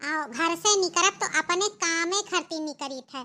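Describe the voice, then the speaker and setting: A cartoonish character voice that sounds female, pitched extremely high, speaks at a moderate pace. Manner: bossy, boastful.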